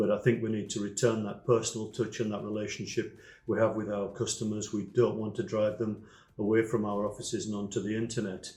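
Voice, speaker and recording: At a very fast pace, a man speaks in a fairly low, dark, mellow tone that is somewhat breathy, with monotone, flat intonation. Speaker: independent travel agent. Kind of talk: recorded video message.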